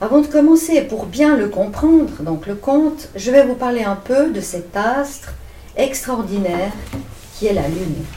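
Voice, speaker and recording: A woman with a high pitch and very wide pitch swings talks at a fairly slow pace, with audible room echo and noticeable background noise. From Switzerland, Vevey. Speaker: co-reader of a children's story. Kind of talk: reading aloud.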